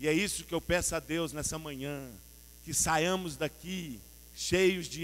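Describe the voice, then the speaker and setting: A high male voice at a very slow pace. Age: 60s. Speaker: pastor. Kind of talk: sermon. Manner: animated.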